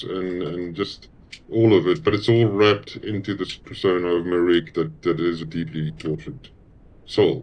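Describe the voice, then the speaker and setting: In a South African accent, a man with a very deep, low pitch speaks at a moderate pace with ordinary pitch variation. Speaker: musician. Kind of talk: interview.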